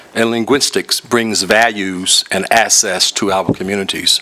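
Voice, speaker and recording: Over noticeable background noise, a man with a Southern US accent speaks at a moderate pace. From Mississippi, US South. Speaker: retired teacher. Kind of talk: public comment presentation. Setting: public government meeting.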